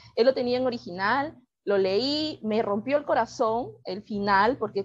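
A woman speaks in a plain, everyday voice with fairly high pitch and ordinary pitch variation. Her pace is fairly slow. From Peru, Lima. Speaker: writer. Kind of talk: interview.

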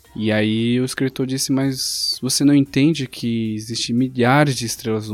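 A man's fairly even intonation over music in the background. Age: 20s. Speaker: podcast host. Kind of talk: casual chat.

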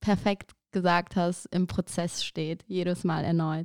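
In a very clean recording with a silent background and a dry, close sound with no echo, a woman at medium pitch speaks very slowly. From Aachen, Germany. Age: 30s. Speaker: podcaster. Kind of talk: casual interview.

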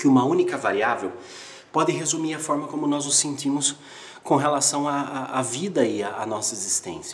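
A man speaks at a moderate pace with ordinary pitch variation. His pitch is fairly high, and the room echo is audible. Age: 30s. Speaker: video creator. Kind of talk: motivational monologue. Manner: animated.

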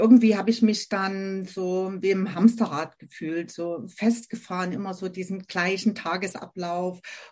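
A woman talks at a medium pitch and a fairly slow pace. Her voice is somewhat breathy. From Germany, Saxony near Dresden. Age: 50s. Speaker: essential oils consultant. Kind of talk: interview.

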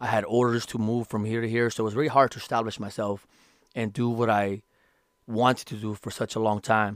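A man's medium-pitched, monotone and flat voice at a fairly quick pace, dry and close with no echo, in a very clean recording with a silent background. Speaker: podcast host, ex-Marine starting a real estate career. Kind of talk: casual solo podcast monologue. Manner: casual, conversational, motivational.

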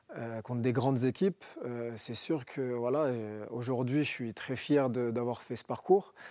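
A man's medium-pitched, dark and mellow voice at a fairly slow pace, with ordinary pitch variation and hardly any pauses. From northern France, Roubaix. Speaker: former pro footballer. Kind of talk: TV interview. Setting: TV studio.

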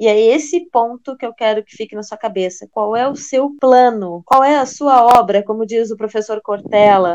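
A woman's normal speaking voice, fairly high in pitch, at a fairly slow pace with ordinary pitch variation. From Brazil, Rio Grande do Sul. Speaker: French teacher, podcast co-host. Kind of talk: casual chat.

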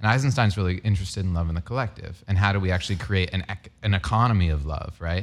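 A man at a very fast pace with hardly any pauses, very deep and low in pitch, ordinary pitch variation, on a very clean recording with a silent background. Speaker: radio host. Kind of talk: interview conversation.

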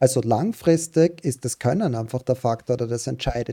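The sound is dry and close with no echo. A man speaks in a dark, mellow tone at medium pitch with ordinary pitch variation. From Austria, Styria. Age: 30s. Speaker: professional poker player. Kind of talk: casual interview.

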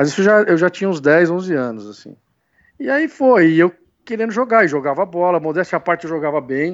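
High-pitched and quick-moving, a man talks with lively intonation at a fairly quick pace. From São Bernardo do Campo, São Paulo state, Brazil. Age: 40s. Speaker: sports commentator. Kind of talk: casual interview chat.

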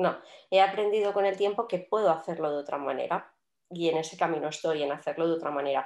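A woman speaks very fast in a fairly low pitch, varying it in an ordinary way. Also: quiet background. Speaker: podcast co-host, entrepreneur. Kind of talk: casual chat.

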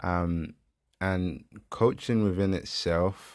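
A man with a London accent and a very deep, low pitch speaks with fairly even intonation in a very clean recording with a silent background. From South East London, Peckham. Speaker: engineering student and entrepreneur. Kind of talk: casual interview.

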